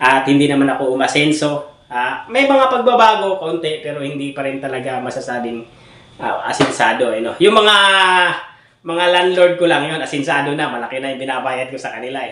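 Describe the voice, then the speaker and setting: Someone talks at a fairly quick pace with ordinary pitch variation, amid noticeable background noise and audible room echo. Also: man, fairly high pitch for a man. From Philippine provinces, outside Manila. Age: 30s. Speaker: vlogger and bibingka vendor. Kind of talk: casual vlog update. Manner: hesitant, many fillers.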